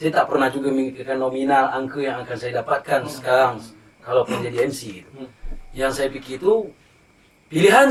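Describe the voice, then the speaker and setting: A man with a Riau Islands accent speaks at a fairly quick pace in a medium pitch with ordinary pitch variation. Noticeable background noise is present. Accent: Daik Lingga Malay dialect. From Lingga, Riau Islands, Indonesia. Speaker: MC and folk theatre actor. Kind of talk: podcast interview answer.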